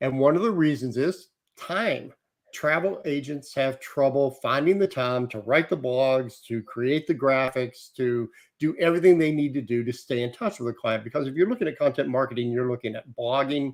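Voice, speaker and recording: The man's pitch is fairly high, with ordinary variation. He talks at a moderate pace. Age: 60s. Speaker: travel industry publisher. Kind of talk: interview.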